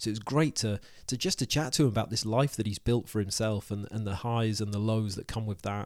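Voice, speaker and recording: In a very clean recording with a silent background, a man uses a normal speaking voice at a medium pitch, with fairly even intonation and a fairly quick pace. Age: 40s. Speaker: podcast host. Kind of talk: scripted narration; casual chat.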